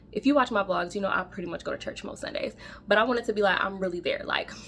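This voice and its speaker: The tone is animated. Noticeable background noise sits behind the voice. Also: woman. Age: 30s. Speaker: faith vlogger. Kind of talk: casual vlog monologue. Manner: fast.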